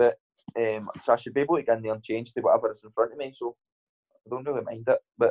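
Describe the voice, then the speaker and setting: This man has a Scottish accent and talks at a very fast pace. His speech is broken by long, frequent pauses. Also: big swings in loudness. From Scotland. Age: 20s. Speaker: professional boxer. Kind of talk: casual interview chat.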